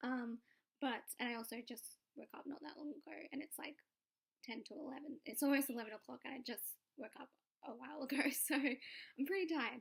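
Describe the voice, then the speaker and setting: Here a woman speaks at a high pitch and a fairly quick pace. Long, frequent pauses break up her speech. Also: ordinary pitch variation. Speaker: vlogger. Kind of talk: casual vlog. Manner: casual, filler-heavy. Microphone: laptop mic, low quality.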